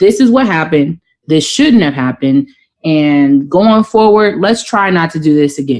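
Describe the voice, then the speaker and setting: A woman speaks at a moderate pace in a fairly low pitch with very even loudness. Her pitch swings very widely. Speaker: podcast co-host. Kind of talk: casual chat.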